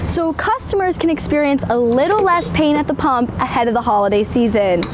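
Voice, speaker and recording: There is noticeable background noise behind a woman speaking. She keeps a moderate pace, and her pitch swings very widely. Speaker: reporter. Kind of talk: on-camera news standup.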